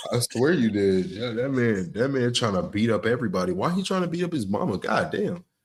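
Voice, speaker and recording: With very wide pitch swings, a man at medium pitch speaks at a fairly quick pace with hardly any pauses. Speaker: podcast co-host. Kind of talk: casual chat. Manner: loud.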